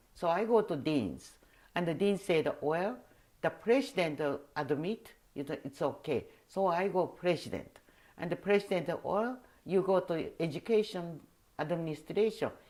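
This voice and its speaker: Lively intonation and a dark, mellow tone come with a Japanese accent. The pace is moderate, broken by long, frequent pauses. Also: woman, fairly low pitch for a woman. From Taiwan. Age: 80s+. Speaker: costume designer. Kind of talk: oral history interview. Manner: halting.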